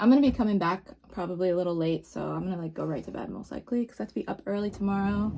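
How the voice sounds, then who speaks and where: Very fast speech from a woman at medium pitch, with noticeable background noise. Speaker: beauty vlogger. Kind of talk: casual vlog chat.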